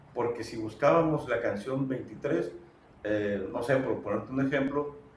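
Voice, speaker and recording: At a fairly slow pace and a fairly high pitch, a man speaks with ordinary pitch variation against noticeable background noise. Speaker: radio announcer. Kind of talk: interview answer.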